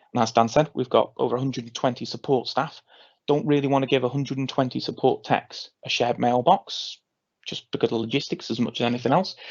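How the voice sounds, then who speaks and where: The man's speech races along at a very fast pace. He keeps a medium pitch and his intonation stays fairly even. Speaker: cloud communications specialist presenting a webinar. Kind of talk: webinar presentation. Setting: online webinar. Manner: halting, many fillers.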